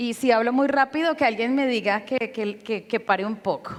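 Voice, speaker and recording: A woman with an unremarkable speaking voice, fairly high pitch and ordinary pitch variation, at a moderate pace. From Colombia, Bogotá. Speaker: educator and conference speaker. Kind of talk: conference lecture. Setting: stage with audience, sign interpreter.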